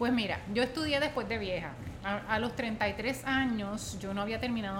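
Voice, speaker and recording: Audible room echo and noticeable background noise surround this woman's fairly high voice. She talks at a moderate pace with ordinary pitch variation. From Puerto Rico, Utuado. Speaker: professor and former political candidate. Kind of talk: interview. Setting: in-person studio interview.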